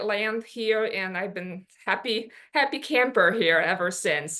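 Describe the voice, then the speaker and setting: A woman with a Polish accent and a bright, sharp tone, over a quiet background. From Poland. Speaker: business owner. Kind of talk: workshop presentation. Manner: halting, many fillers.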